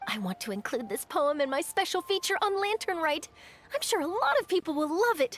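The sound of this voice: Putting on a character voice, a woman speaks at an extremely high, fairly bright pitch with big swings, at a fairly quick pace, the sound dry and close with no echo.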